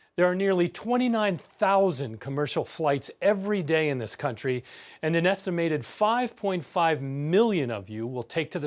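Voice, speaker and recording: A man speaks at a moderate pace with very wide pitch swings and hardly any pauses. The recording is very clean, with a silent background. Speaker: television news correspondent and anchor. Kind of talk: broadcast news narration. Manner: measured, professional.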